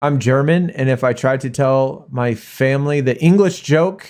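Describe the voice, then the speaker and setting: A man with a normal speaking voice and an American accent talks fairly slowly at a medium pitch with ordinary pitch variation, recorded very cleanly against a silent background. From Arizona, US. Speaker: mobile game streamer. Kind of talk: casual live-stream chat with viewers. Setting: live stream.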